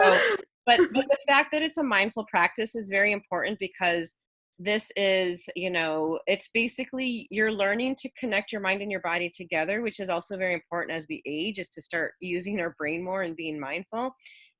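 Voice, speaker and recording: A woman's bright, sharp voice with lively intonation comes through dry and close, with no echo. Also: medium pitch for a woman. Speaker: running coach. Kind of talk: private coaching session. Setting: video call. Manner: fast.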